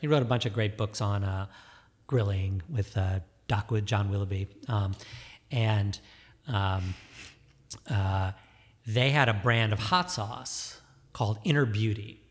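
On a very clean recording with a silent background, a man with an American accent speaks at a fairly slow pace in a somewhat breathy, fairly low voice, leaving long, frequent pauses. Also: ordinary pitch variation. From suburban Detroit, Michigan. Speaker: cheese shop and cafe owner. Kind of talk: casual chat. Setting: studio.

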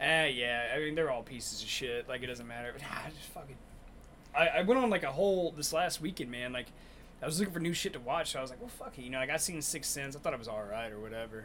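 Noticeable background noise runs under a man with a fairly high pitch and lively intonation. He speaks at a very fast pace, with big swings in loudness. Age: 30s. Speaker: comedy podcast host. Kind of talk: casual chat.

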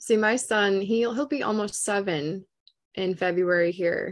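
With an Upper Midwestern accent, a woman speaks fairly slowly in a medium pitch with ordinary pitch variation. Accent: Upper Midwestern American.

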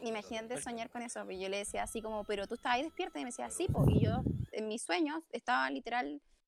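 The sound is close and dry, with no echo. The delivery comes at a very fast pace. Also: woman. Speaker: guest. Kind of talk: casual chat.

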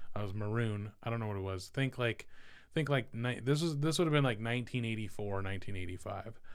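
A man with an American accent and an unremarkable speaking voice, medium in pitch with ordinary pitch variation, at a fairly quick pace. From California, Central Valley. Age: 40s. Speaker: tech consultant. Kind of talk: casual interview chat. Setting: studio.

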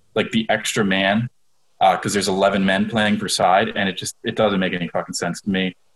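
Fairly even in intonation, this is a plain, everyday voice. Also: man. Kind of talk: casual comedic banter. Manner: joking, sarcastic.

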